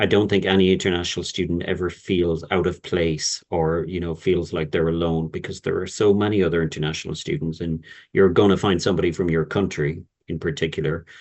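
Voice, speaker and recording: A man with an Irish accent, very deep and low in pitch, at a fairly quick pace and with monotone, flat intonation. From Ireland. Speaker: university representative. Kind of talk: webinar Q&A.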